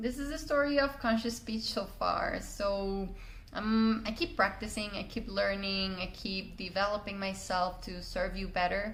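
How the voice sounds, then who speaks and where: Amid noticeable background noise and audible room echo, a woman at medium pitch speaks at a fairly slow pace with ordinary pitch variation. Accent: Spanish. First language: Spanish. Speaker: communication coach. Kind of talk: personal story monologue. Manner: hesitant with fillers.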